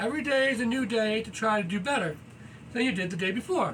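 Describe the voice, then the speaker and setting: A man's extremely high-pitched, loud voice at a very fast pace, with audible room echo and noticeable background noise. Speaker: yoga vlogger. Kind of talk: casual vlog monologue while exercising. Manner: energetic.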